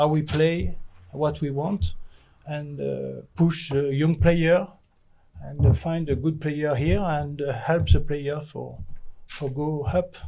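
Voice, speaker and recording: In a French accent, a man speaks at a very slow pace with a fairly high pitch and ordinary pitch variation. His tone is dark and mellow, somewhat breathy, with audible room echo. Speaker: football manager. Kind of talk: press conference. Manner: halting.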